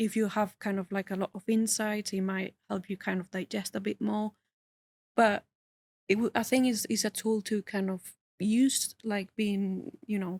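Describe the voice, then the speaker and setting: A somewhat breathy woman's voice at medium pitch with a non-native accent, monotone and flat in intonation, at a moderate pace in a dry, close sound with no echo. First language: not English. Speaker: user researcher. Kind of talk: casual interview chat. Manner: halting, many fillers.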